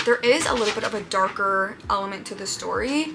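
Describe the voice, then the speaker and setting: With music playing in the background, a woman talks at a fairly high pitch with ordinary pitch variation. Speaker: booktuber. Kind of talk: casual vlog. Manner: whispering.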